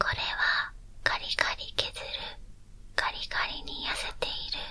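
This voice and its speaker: The speaker is whispering at a fairly slow pace amid noticeable background noise. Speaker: ASMR creator. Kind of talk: ASMR teacher role play lesson. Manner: whispered.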